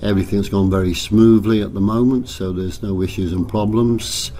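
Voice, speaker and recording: A man with a fairly low pitch talks at a moderate pace with fairly even intonation. Noticeable background noise and audible room echo come through. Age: 80s+. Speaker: travelling showman. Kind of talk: interview. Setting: at a fairground.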